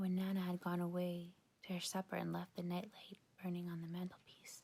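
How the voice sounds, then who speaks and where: At a moderate pace, this soft-spoken voice carries a gentle tone. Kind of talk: softly spoken bedtime story reading, ASMR. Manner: soft-spoken, gentle.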